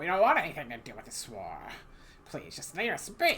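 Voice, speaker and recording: Delivered fairly quickly, this put-on character voice sits at a middle pitch. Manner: pleading.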